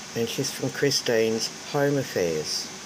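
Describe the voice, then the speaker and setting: Over noticeable background noise, a woman with an Australian accent talks at a fairly slow pace with lively intonation. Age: 60s. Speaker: craft vlogger. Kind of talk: casual vlog talk.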